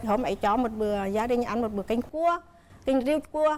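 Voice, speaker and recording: Against noticeable background noise, a woman talks in a high voice with ordinary pitch variation. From Nghệ An, north-central Vietnam. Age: 60s. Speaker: mother-in-law on TV talk show. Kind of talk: TV talk show interview.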